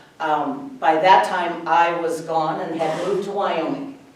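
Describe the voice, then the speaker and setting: A woman with an American accent and fairly low pitch at a fairly slow pace, with noticeable background noise and audible room echo. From Minnesota, US Midwest. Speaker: local food grower and market vendor. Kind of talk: workshop talk. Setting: workshop room with audience, no microphone. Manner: loud.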